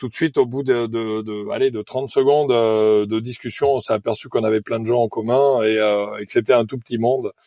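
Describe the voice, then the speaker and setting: A man with a medium pitch and a dark, mellow tone speaks in a monotone, flat intonation at a moderate pace, the sound dry and close with no echo. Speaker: former volleyball player, sailor. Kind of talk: podcast interview.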